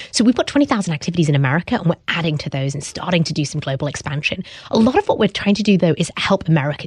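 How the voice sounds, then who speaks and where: A woman speaks very fast in a British accent, her pitch swinging very widely, with a dry, close sound and no echo. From UK. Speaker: startup founder. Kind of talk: interview conversation.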